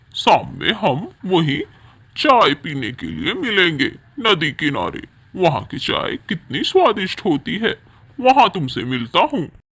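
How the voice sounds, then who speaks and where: The voice is a cartoonish character voice. Its delivery is fairly slow. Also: man. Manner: boastful.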